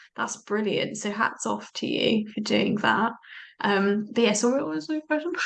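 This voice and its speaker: Speaking at a moderate pace, a woman with a fairly high pitch shows vocal fry and lively intonation. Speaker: energy healer. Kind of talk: casual chat.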